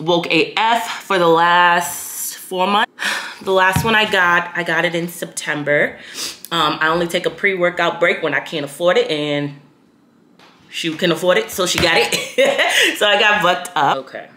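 At a moderate rate, a woman talks with fairly even intonation. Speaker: fitness vlogger. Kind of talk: casual vlog chat.

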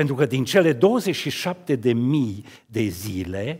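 Against a quiet background, a somewhat breathy man speaks very slowly, his pitch swinging very widely. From Romania, Cluj county (Transylvania); Romania. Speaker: sculptor. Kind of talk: talk at an art event. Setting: stage with audience. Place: church. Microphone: headset.

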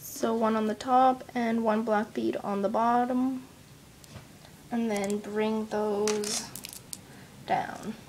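Amid noticeable background noise, a woman speaks at a very slow pace with a fairly high pitch and fairly even intonation. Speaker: kandi crafting tutorial maker. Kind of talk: tutorial. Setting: at home, family noise in background. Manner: casual, chatty, somewhat hesitant.

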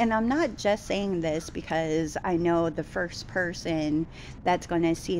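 A woman speaks at a fairly slow pace with a fairly low pitch and ordinary pitch variation over light background noise. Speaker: vlogger. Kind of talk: casual vlog chat. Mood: frustrated, venting about date. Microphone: phone near.

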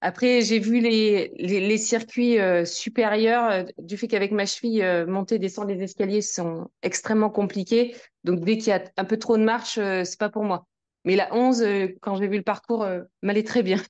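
The setting behind the woman is quiet. She keeps to a moderate pace. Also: fairly high pitch for a woman, fairly even intonation. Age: 40s. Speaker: amateur nordic walker. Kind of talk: casual interview. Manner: hesitant.

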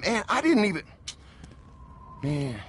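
A man uses a put-on character voice at a high pitch and a fairly bright tone. He moves slowly, with big pitch swings.

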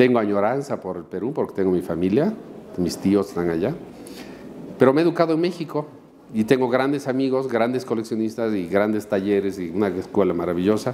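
With lively intonation and a fairly low pitch, a man speaks at a fairly quick pace over light background noise. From Bolivia. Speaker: painter; interviewee. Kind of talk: interview. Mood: calm, reflective. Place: office. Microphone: lapel.

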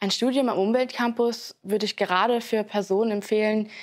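With a quiet background behind her, a woman speaks in a monotone, flat intonation. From Saarland, near St. Wendel; Saarland. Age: 20s. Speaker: university student. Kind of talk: student testimonial interview. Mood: calm, friendly. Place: hall. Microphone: lapel.

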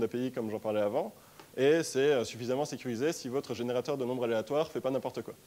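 The man's pitch moves in an ordinary way. His tone sounds dark and mellow. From France, Strasbourg (Alsace); France. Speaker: tech startup co-founder, conference speaker; conference speaker. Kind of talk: conference talk. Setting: stage with audience. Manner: hesitant, many filler sounds. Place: hall.

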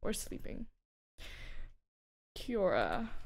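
Ordinary pitch variation in a woman's voice. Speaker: streamer. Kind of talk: casual chat. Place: home room. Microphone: studio mic.

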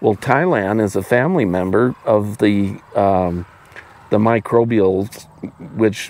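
A man with an American accent talks at a very slow pace, his pitch fairly low with ordinary variation. The sound is dry, with no echo. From Wyoming, US. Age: 60s. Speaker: veterinarian. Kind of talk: casual interview conversation. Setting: outdoors on a farm. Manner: halting, many repetitions and fillers. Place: farm machine. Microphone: lapel.

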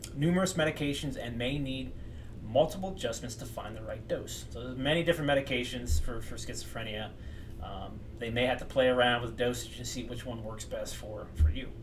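Light background noise sits behind a man who talks at a fairly quick pace with big swings in loudness. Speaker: mental health educator. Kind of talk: lecture. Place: home room. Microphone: webcam.

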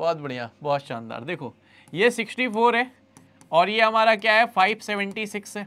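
A man speaks in a high voice with a bright, sharp tone. His intonation is lively, with big swings in loudness. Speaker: online maths teacher for exam aspirants. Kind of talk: live online class. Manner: quieter than usual. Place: studio. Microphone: lapel.

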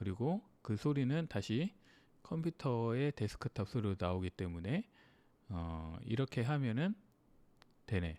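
A man's medium-pitched voice with a dark, mellow tone, very wide pitch swings, very even loudness, a fairly slow pace and long, frequent pauses, on a very clean recording with a silent background. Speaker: music gear YouTuber. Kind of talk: screen-recorded tutorial. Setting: home studio with dynamic mic and audio interface. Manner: thinking aloud, many fillers.

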